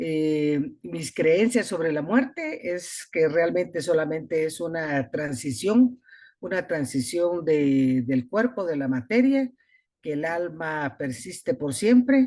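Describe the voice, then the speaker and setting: Very slowly, a woman speaks with a fairly low pitch and very wide pitch swings. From Guatemala, Escuintla. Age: 60s. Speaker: retired physician, course participant. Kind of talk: online class introduction.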